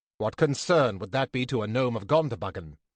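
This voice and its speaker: In a put-on character voice, the speaker growls in a stern tone at a fairly quick pace. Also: man, medium pitch for a man, quiet background. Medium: read story. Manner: grave, stern.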